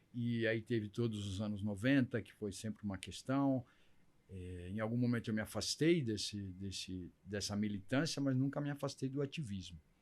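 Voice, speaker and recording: A man talks at a moderate pace in an ordinary speaking voice. His pitch is fairly low, with ordinary pitch variation. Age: 60s. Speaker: LGBT activist. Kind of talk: interview.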